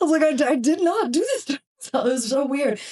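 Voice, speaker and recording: A woman with an American accent, a dark, mellow tone, and a fairly quick pace. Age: 30s. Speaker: burn survivor. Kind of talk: casual chat. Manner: animated.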